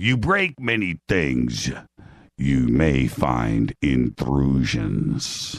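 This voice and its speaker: A man puts on a character voice with a non-native accent. His pitch swings very widely. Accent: put-on foreign. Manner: salesman-like, pitching.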